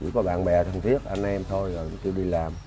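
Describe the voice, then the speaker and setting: Speaking in a Southern Vietnamese accent, a man with a very deep, low pitch talks at a fairly quick pace over light background noise. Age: 60s. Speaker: victim's father; interviewee. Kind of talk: interview; interview answer. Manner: halting. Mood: earnest, slightly aggrieved. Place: home room. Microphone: lapel.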